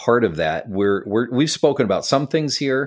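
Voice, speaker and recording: Speaking at a moderate pace with lively intonation, this voice carries vocal fry and an American accent on a very clean recording with a silent background. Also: man. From upstate New York (Syracuse). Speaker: podcast co-host and coach. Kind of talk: casual chat.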